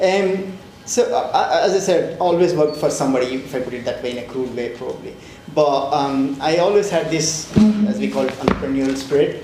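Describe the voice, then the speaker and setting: A man talks at a fairly quick pace in a fairly high pitch, with ordinary pitch variation. Audible room echo and noticeable background noise fill the recording. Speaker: fintech founder and CEO. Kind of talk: panel interview. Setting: stage with live audience. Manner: loud; halting, many fillers. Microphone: mic problems at start.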